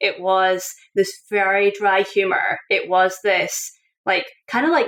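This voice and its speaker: Very slowly, a woman speaks with very even loudness. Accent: Scottish. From Scotland. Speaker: author and coach. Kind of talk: interview. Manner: animated.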